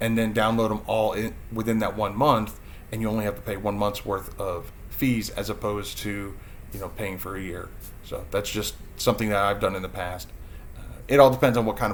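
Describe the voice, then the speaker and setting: Audible room echo surrounds a man with a fairly low pitch and fairly even intonation. He keeps a moderate pace, and his loudness swings widely. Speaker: YouTuber teaching self-publishing. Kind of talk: live stream Q&A. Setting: live stream. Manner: hesitant, many fillers and repetitions.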